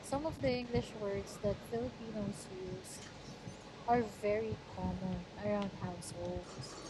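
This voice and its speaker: Very slow speech from a woman, noticeable background noise and audible echo of the room around it. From Philippines, Batangas. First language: Tagalog. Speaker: channel owner's girlfriend. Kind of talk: casual chat.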